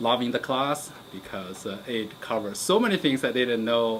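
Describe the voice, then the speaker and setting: A man with a Chinese accent speaks at a medium pitch. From China. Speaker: geology professor. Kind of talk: interview monologue. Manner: halting, many fillers.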